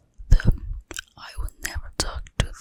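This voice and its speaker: A woman whispering, dry and close with no echo, over noticeable background noise. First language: Mandarin Chinese. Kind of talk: ASMR whispered book reading. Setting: cozy room, home recording. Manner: whispered, soft, slow.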